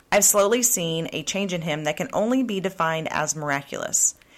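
A woman with an American accent and a fairly low pitch speaks in a plain, everyday voice with lively intonation at a moderate pace, on a very clean recording with a silent background. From Oklahoma. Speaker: podcast host. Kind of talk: casual interview chat.

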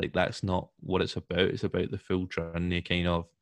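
A man with a Scottish accent speaks at a very deep, low pitch in a monotone, flat intonation. His pace is moderate, and the recording is very clean with a silent background. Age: 20s. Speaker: podcast host, civil engineer. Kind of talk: casual interview chat.

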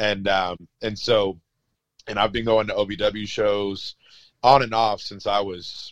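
A normal speaking voice from a man, fairly low in pitch, with fairly even intonation and a dry, close sound with no echo. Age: 30s. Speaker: wrestling referee. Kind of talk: casual interview.

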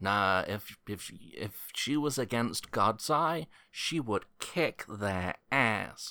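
With an American accent and a bright, sharp tone, the speaker goes at a very slow pace with lively intonation and hardly any pauses, in a very clean recording with a silent background. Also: man, medium pitch for a man. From Chicago, with high school in Scotland. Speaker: podcast host. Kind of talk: casual chat.

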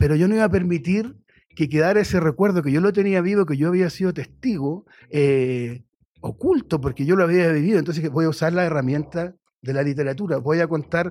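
With ordinary pitch variation and a fairly high pitch, a man talks in a plain, everyday voice. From Chile. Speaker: writer and journalist. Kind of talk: radio interview. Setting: radio studio.

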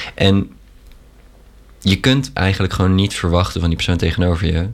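Talking at a very fast pace, this man has a very deep, low pitch. His delivery races along. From Netherlands. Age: 20s. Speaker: university student. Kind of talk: casual chat.

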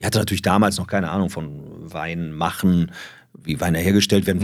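A man speaks at a very fast pace. The recording is very clean, the background silent. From Düsseldorf, Germany. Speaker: wine importer and family business owner. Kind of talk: casual interview.

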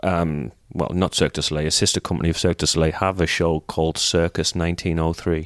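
In a very clean recording with a silent background and a dry, close sound with no echo, a man with an English accent speaks at a fairly quick pace in a very deep, low pitch. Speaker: retired gymnast and coach. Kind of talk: casual chat.

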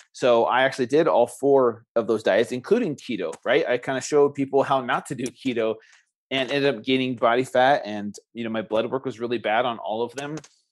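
Against a quiet background, a man with an ordinary speaking voice talks at a fairly quick pace with medium pitch and fairly even intonation. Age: 40s. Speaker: health and wellness coach. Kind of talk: interview.

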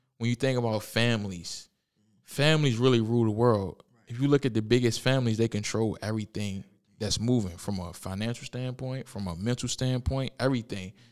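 A man speaks very fast at a medium pitch, his loudness swinging widely while his pitch varies in an ordinary way. The recording is very clean, with a silent background. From Richmond, Virginia (East End). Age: 20s. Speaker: podcast host. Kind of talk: casual chat. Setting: studio.

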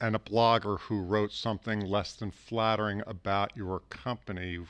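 Against a quiet background, a man with a normal speaking voice talks at a moderate pace, fairly low in pitch and with fairly even intonation. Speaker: interviewer. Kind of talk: interview.

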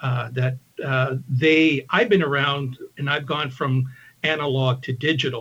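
A man of medium pitch at a fairly slow pace, with fairly even intonation. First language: English (Spanish second). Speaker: video producer. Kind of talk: interview.

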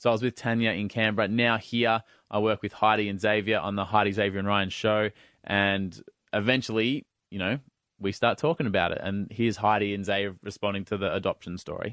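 This man has a fairly low pitch. He speaks at a fairly quick pace. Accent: Australian. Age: 30s. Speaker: radio host and podcaster. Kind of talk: casual chat.

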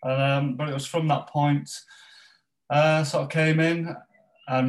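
A man is speaking here. He has a Yorkshire accent. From northern England, West Yorkshire (Pontefract). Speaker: football organization ambassador. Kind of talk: interview. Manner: halting.

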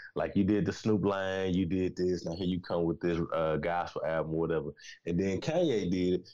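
With a very deep, low pitch, the man talks at a moderate pace. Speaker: fellow podcaster. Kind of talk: casual chat. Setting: video call. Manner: animated.

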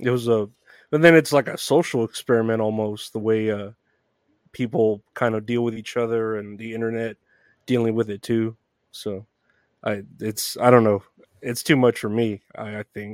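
A man at a moderate pace, with long, frequent pauses and a dry, close sound free of echo on a very clean recording over a silent background. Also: medium pitch for a man, fairly even intonation. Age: 30s. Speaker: podcast host. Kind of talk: casual interview chat. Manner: halting, many fillers.

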